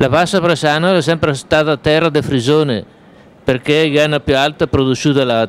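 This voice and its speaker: A man speaks at a moderate pace and a fairly high pitch. His loudness is very even and his intonation fairly even. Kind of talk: TV news report.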